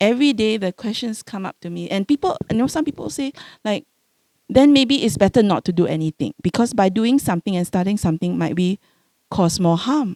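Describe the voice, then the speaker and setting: Recorded dry and close with no echo, a woman with a Singaporean accent speaks at a fairly quick pace with lively intonation, a medium pitch and a dark, mellow tone. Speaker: home care doctor, panelist. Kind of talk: panel discussion. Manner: halting, with many repeated words.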